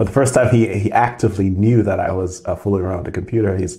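A somewhat breathy man with a dark, mellow tone, fairly low pitch and fairly even intonation, against a quiet background. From Grenada. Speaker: engineering professor. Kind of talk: interview. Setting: office. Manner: halting with frequent repetitions. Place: office.

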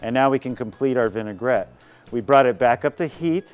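Faint music plays behind a man as he talks. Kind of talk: tutorial. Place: garden.

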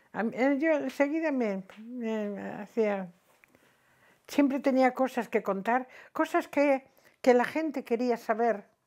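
The background stays quiet. Against it, a woman talks very slowly. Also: long, frequent pauses. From Madrid (Chamberí), born in Cantabria; Madrid, Spain. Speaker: retired teacher telling her life story. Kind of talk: oral history interview. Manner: halting, with frequent repetitions. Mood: reminiscing, warm. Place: home room. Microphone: lapel.

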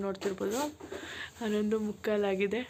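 A woman is speaking. Her pitch is medium. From Malnad region, Karnataka. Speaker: vlogger. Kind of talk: casual vlog chat. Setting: outdoors at night by a campfire.

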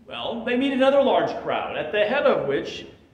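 Audible room echo follows the man's voice as he talks. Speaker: pastor. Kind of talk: sermon. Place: church.

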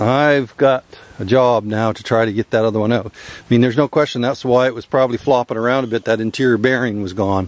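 The sound is dry and carries no echo. A man does the talking. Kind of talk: tutorial. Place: open country. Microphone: phone near.

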